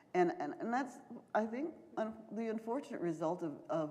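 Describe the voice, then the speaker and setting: A woman in an American accent speaks at a moderate pace amid audible room echo. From US South, Charleston, South Carolina. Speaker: professor and author. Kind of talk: Q&A after a lecture. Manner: hesitant, many fillers.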